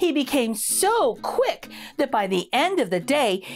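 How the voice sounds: A high-pitched woman at a fairly slow pace, her pitch swinging widely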